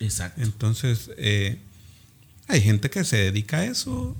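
Pitched fairly low, a man's voice comes out somewhat breathy. His pace is very slow. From Cintalapa, Chiapas, Mexico. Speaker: dentist and local political hopeful. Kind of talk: interview.

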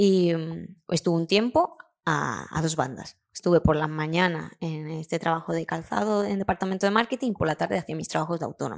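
Recorded with a dry, close sound and no echo, a woman talks at a fairly quick pace, her fairly low voice carrying lively intonation. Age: 30s. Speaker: graphic designer and illustrator. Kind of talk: interview. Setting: studio.

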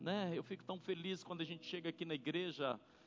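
At a moderate pace, a man speaks in a high pitch. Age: 60s. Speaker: preacher. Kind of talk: sermon. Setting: church.

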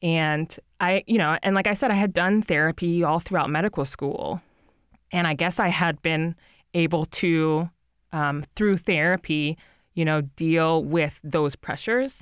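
A woman's unremarkable speaking voice, fairly low in pitch with ordinary pitch variation and very even loudness, in an American accent at a fairly slow pace, dry and close with no echo on a very clean recording over a silent background. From New Jersey. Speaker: physician, preventive medicine resident. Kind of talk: interview about personal mental health.

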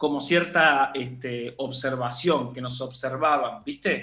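A man's bright, sharp tone at a fairly slow pace. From southern Argentina. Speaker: film director and teacher. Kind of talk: interview.

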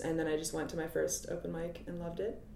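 Audible room echo surrounds a woman speaking at a fairly low pitch with an American accent. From US Midwest (Cincinnati, Ohio). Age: 30s. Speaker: comedian. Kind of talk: casual chat.

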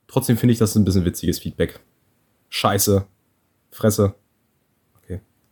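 Somewhat breathy, a man speaks at a fairly quick pace broken by long, frequent pauses, the sound dry and close with no echo. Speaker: podcast co-host. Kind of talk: casual chat. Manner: animated.

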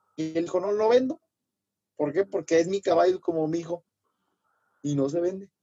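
The speaker has a Mexican accent. Long pauses come often. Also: moderate pace. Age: 20s. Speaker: charro rider and lawyer. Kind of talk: casual interview chat.

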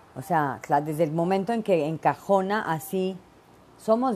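A woman's fairly low pitch in a dark, mellow tone. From Mexico, Veracruz. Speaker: podcast host. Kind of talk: casual monologue. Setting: home office. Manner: animated.

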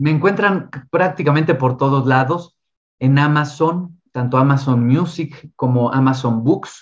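With a Mexico City accent, a man speaks at a fairly slow pace in a fairly high, somewhat breathy voice. His loudness stays very even, and his pitch varies in an ordinary way. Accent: Mexican Spanish (Mexico City). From Mexico City, Mexico. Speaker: tarot reader and esoteric speaker. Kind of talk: casual interview.

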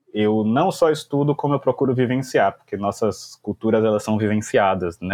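Speaking with a Bahian accent, a man holds a medium pitch with ordinary pitch variation. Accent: Bahian Brazilian Portuguese. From Brazil, Salvador (Bahia). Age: 20s. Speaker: English teacher and language school founder. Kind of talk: casual interview.

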